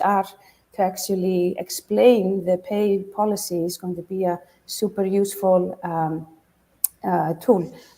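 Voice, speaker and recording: With an Icelandic accent, a woman speaks at a medium pitch and with fairly even intonation. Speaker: startup founder and business school professor. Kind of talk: pitch competition Q&A.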